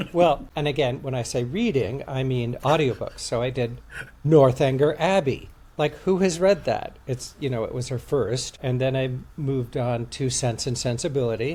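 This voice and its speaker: The voice has a dark, mellow tone and is somewhat breathy, moving at a moderate pace with ordinary pitch variation. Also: man, medium pitch for a man. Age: 50s. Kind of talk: casual chat.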